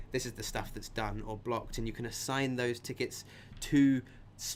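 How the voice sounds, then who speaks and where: This man's voice sits at a medium pitch. He speaks at a fairly quick pace. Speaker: coding boot camp instructor. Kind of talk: online live session, instructional talk. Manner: casual, with many fillers; fast.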